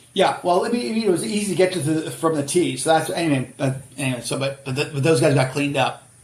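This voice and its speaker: A man with an American accent and fairly high pitch, very fast pace with hardly any pauses, ordinary pitch variation, and noticeable background noise. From Boston area, Massachusetts. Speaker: author and career adviser. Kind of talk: casual podcast interview.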